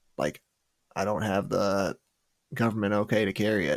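This is a man with a fairly low-pitched voice. The recording is very clean, with a silent background. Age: 20s. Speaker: podcast host. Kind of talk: casual interview chat. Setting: livestream.

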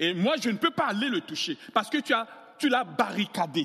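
A man with an extremely high pitch and a bright, sharp tone uses a raised, projected voice at a moderate pace, his pitch swinging very widely. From Central African Republic. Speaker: pastor. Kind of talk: sermon. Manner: animated.

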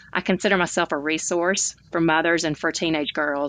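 A woman with a Southern US accent talks at a fairly low pitch against a quiet background. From Alabama, US South. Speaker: author and speaker. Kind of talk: interview monologue.

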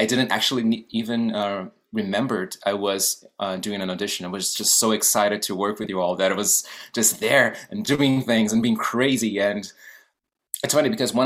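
A fairly low-pitched man's voice with a Portuguese accent, at a moderate pace. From Brazil. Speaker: actor and guest host. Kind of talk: interview. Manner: animated.

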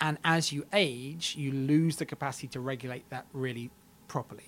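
The voice is a man's. It is a plain, everyday voice, and the intonation remains fairly even. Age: 30s. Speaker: genetics professor and aging researcher. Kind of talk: interview.

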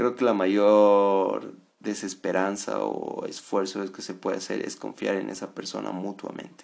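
A man talks at a fairly slow pace in a calm tone over a quiet background. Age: 20s. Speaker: podcast host and psychology student. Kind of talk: casual monologue.

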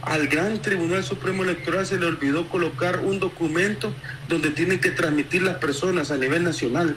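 A man with a high pitch and ordinary pitch variation talks at a fairly quick pace over noticeable background noise. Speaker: opposition party campaigner. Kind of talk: phone interview.

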